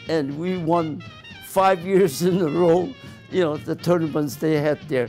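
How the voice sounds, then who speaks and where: Music plays behind a man with an American accent who speaks fairly slowly at a fairly high pitch. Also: ordinary pitch variation. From US West. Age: 90s. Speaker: retired optometrist. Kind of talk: casual chat.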